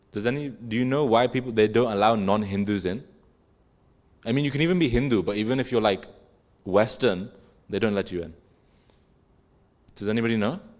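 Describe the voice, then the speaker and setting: With an English accent, the speaker moves at a fairly quick pace broken by long, frequent pauses. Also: man, medium pitch for a man, ordinary pitch variation. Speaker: religious class teacher. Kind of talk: religious class discussion. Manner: casual, conversational with filler words.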